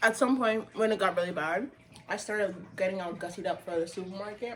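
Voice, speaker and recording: Delivered at a very fast pace in an animated tone, the voice has ordinary pitch variation over noticeable background noise. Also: woman, medium pitch for a woman. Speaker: retail sales worker. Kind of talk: casual chat.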